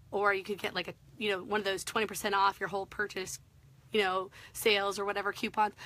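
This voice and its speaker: A woman is speaking. Her tone is bright and sharp. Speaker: craft tutorial host. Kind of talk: live-stream tutorial. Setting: social media live video. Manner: chatty, filler-heavy.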